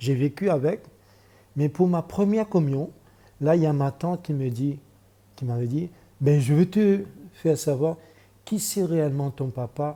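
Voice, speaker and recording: A man's dark, mellow, somewhat breathy voice at a fairly high pitch. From Mauritius. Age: 60s. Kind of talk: testimony. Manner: halting.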